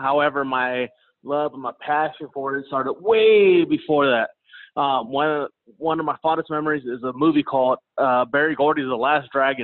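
In a plain, everyday voice, a man speaks at a moderate pace with fairly high pitch and ordinary pitch variation. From Kansas City, US Midwest. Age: 30s. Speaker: professional MMA fighter. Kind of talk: interview. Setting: remote call.

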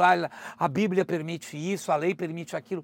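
An animated, high-pitched male voice on a very clean recording with a silent background. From Brazil. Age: 50s. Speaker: travel content creator and presenter. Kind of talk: casual interview chat.

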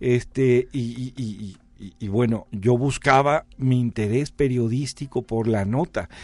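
A man talks at a very slow pace with hardly any pauses, a medium pitch, fairly even intonation and big swings in loudness. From Mexico, Jalisco. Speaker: researcher and author. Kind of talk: interview.

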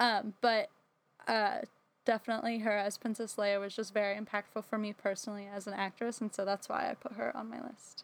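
A woman with an American accent has an unremarkable speaking voice and a fairly high pitch. She talks at a fairly quick pace with fairly even intonation. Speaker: theater graduate and actress. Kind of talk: casual chat.

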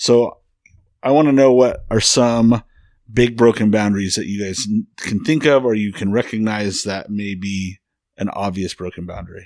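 A man speaks at a moderate pace in a plain, everyday voice, fairly low in pitch with ordinary pitch variation. The recording is very clean, with a silent background. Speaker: therapist and co-host. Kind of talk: casual chat.

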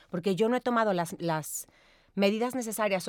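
A woman at a very fast pace, dry and close with no echo. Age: 40s. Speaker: time management expert and seminar speaker. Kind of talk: interview.

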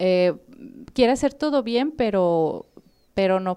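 Over a silent background in a very clean recording, a woman speaks at a very slow pace. Her dark, mellow tone moves through very wide pitch swings. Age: 30s. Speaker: psychotherapist. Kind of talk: interview on psychology.

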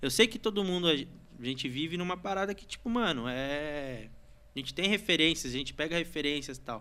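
On a very clean recording with a silent background, a man with a fairly high pitch and a bright, sharp tone talks at a fairly quick pace with lively intonation. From Brazil, São Paulo state (Santa Isabel). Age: 20s. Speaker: graffiti artist. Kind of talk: casual chat.

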